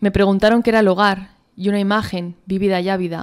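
Against a quiet background, a woman speaks fairly quickly in a flat monotone. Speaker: poet and author. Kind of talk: interview answers, then reading own poetry aloud. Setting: interview. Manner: halting, repeats words while thinking. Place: studio. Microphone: studio mic.

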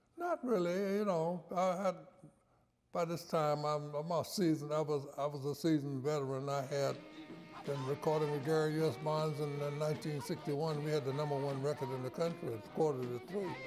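Clear music plays behind a man with an American accent who talks at a fairly quick pace with fairly even intonation. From Norfolk, Virginia, US. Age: 80s+. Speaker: saxophonist. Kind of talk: interview answer. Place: studio.

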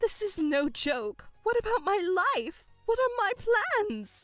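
Using a put-on character voice, a woman speaks slowly at an extremely high pitch with big pitch swings while faint music plays in the background.

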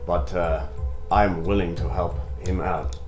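Faint music plays in the background as a man talks at a moderate pace. His pitch is very deep and low. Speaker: actor playing a business associate. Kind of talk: scripted drama dialogue. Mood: polite, formal persuasion. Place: home room.

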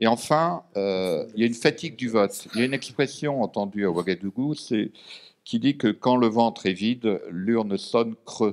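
A man speaks at a moderate pace in a plain, everyday voice, his medium pitch moving with ordinary variation. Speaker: former diplomat and lecturer; lecturer. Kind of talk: panel discussion. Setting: stage with audience. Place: meeting room. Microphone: podium.

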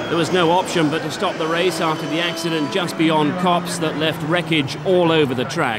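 Speech moves at a moderate pace with hardly any pauses and fairly even intonation. Noticeable background noise runs underneath. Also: man, fairly high pitch for a man. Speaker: highlights narrator. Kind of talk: scripted post-race narration. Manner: measured, composed recap.

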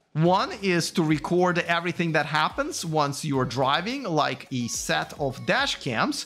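Faint music plays behind a man. He talks at a fairly slow pace. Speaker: EV channel host. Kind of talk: commentary. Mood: critical, sarcastic. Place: studio. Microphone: studio mic.

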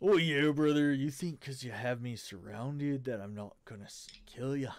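A man uses a put-on character voice at medium pitch and a moderate pace, with ordinary pitch variation and big swings in loudness. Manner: menacing.

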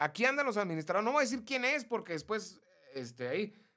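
A man talks in a raised, projected voice that is high-pitched, with a bright, sharp tone. His pitch swings very widely, and the background is quiet. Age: 50s. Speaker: live stream host. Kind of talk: casual chat. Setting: live stream. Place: studio. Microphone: studio mic.

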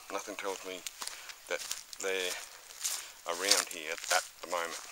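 Noticeable background noise runs through the clip. The sound itself is dry, with no echo. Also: man. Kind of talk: casual vlog narration. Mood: calm, mildly disappointed. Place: forest. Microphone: phone near.

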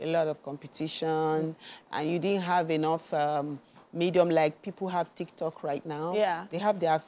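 Speaking at a moderate pace, a woman has a normal speaking voice, fairly low pitch and fairly even intonation. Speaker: TV guest, actor. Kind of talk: interview answer. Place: studio. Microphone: lapel.

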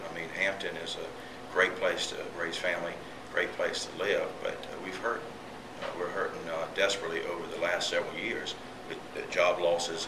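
Speaking at a moderate pace, a man is heard against noticeable background noise. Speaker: candidate. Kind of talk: interview answer. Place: classroom.

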